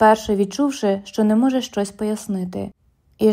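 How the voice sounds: Quiet surroundings behind a natural reading voice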